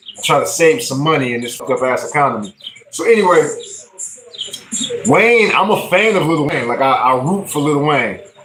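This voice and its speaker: A fairly high-pitched man talks at a fairly quick pace, animated in tone with lively intonation. Noticeable background noise and audible room echo are present. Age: 40s. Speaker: music livestreamer and rapper. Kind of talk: casual livestream talk. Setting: livestream.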